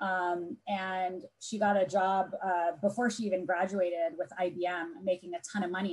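A woman speaks with an American accent at a moderate pace. Her voice is somewhat breathy. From Southern California. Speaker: tech business executive; panelist. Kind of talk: panel discussion. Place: home room. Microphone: earbuds.

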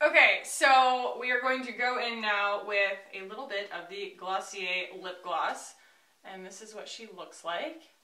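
A woman talks at a fairly slow pace with a medium pitch, lively intonation and big swings in loudness. Audible room echo and noticeable background noise are present. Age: 30s. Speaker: beauty YouTuber. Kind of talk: makeup tutorial and product review. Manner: animated.

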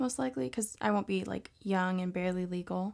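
The speaker is a woman with an American accent. The background is quiet. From Texas. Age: young. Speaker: adult film model; interviewee. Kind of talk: interview answers; interview answer. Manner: hesitant, filler-heavy. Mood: relaxed, casual. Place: home room.

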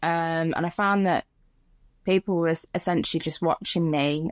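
Against a quiet background, a woman speaks at a fairly low pitch, the sound dry with no echo. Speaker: podcast guest, content creator. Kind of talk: interview answer. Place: home room. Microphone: phone near.

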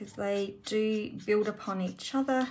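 Speaking fairly slowly, a woman with an Australian accent is heard over light background noise. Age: 50s. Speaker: card-making craft demonstrator. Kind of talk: tutorial. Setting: live stream. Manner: relaxed, unhurried.

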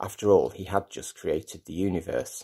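Fairly slow speech against a quiet background. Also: man. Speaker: lay preacher. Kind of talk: sermon. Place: home room. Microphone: phone near.

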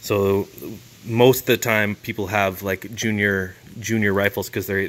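A man talks with monotone, flat intonation. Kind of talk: casual tutorial commentary. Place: street. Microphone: phone near.

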